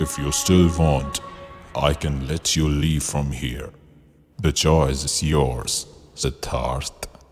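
A man's put-on character voice, very deep and low, at a very slow pace with fairly even intonation, faint music in the background. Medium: audio drama. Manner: slow, grand, amused.

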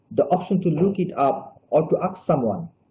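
Over light background noise, a man with a Bangladeshi accent speaks at a fairly slow pace. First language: Bengali. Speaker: graduate student presenter. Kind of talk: webinar presentation. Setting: video call. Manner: halting. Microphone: video call.

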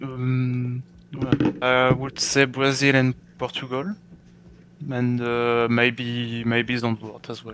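A man with a French accent speaks very slowly at a medium pitch in a monotone, flat delivery. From France. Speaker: sim racing driver. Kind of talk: post-race interview. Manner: halting.

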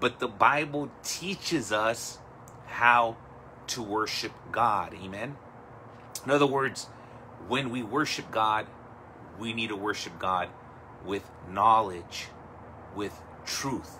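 With light background noise behind him, a man speaks at a very slow pace with long, frequent pauses. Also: ordinary pitch variation. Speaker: pastor. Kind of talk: sermon. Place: home room. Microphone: phone near.

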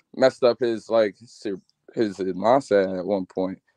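A man with a plain, everyday voice speaks at a moderate pace and fairly low pitch, with fairly even intonation over a quiet background. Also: dry sound with no echo. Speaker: sports commentator. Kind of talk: casual chat. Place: home room. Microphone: video call.

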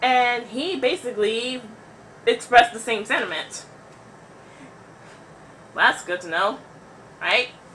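Amid light background noise, a woman with a high pitch and lively intonation speaks at a fairly slow pace, with long, frequent pauses and big swings in loudness. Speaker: vlogger. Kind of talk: casual talk to camera. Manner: stuttering, awkward pauses. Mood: opinionated, sarcastic, animated. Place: home room. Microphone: webcam.

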